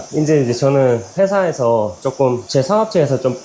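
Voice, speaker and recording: Against noticeable background noise, a man at a medium pitch speaks with very wide pitch swings. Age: 40s. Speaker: business owner and home fitness vlogger. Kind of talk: casual monologue while cycling. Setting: at home on indoor bike. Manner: halting, with many fillers and repetitions.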